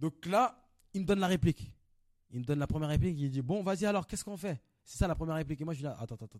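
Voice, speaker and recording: Recorded in a dry, close sound with no echo, a man talks very fast at a fairly high pitch with lively intonation and big swings in loudness. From Paris, Belleville. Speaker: actor. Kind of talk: casual chat.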